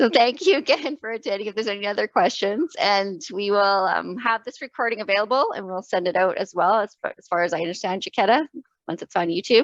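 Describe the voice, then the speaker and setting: Lively intonation and big swings in loudness mark this woman's very fast speech, recorded with a dry, close sound and no echo. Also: medium pitch for a woman. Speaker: event moderator. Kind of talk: webinar closing remarks.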